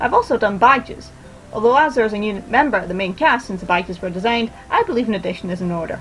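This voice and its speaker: With music playing in the background, a woman with a fairly high pitch talks at a very fast pace. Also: lively intonation. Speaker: art student. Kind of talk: scripted vlog narration. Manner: mumbling.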